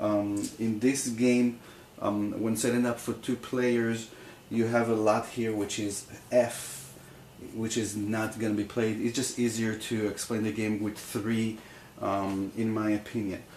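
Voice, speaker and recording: A man speaks at a fairly slow pace. His pitch is medium and his intonation stays flat and monotone. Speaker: board game reviewer. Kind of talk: tutorial. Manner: halting, many fillers.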